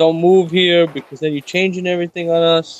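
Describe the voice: A man talks at a fairly quick pace in a fairly high pitch, with little movement in his pitch.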